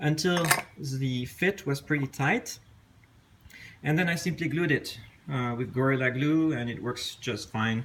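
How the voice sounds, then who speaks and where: Amid noticeable background noise, a man with a strong French accent talks fairly slowly at a fairly high pitch, with ordinary pitch variation and long, frequent pauses. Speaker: potter. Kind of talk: casual tutorial talk to camera. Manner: hesitant, with fillers.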